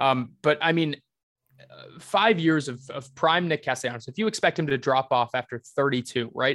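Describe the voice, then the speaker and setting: A man's fairly high voice at a moderate pace, with ordinary pitch variation, big swings in loudness and a dry, close sound with no echo. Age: 20s. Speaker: baseball commentator. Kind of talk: casual chat.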